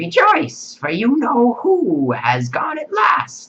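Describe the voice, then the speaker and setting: A man does a squeaky, put-on character voice at a very slow pace. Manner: delighted, excited.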